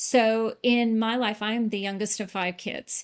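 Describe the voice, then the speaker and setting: A woman speaks in a monotone, flat intonation on a very clean recording with a silent background. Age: 60s. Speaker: weight loss client. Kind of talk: interview testimony.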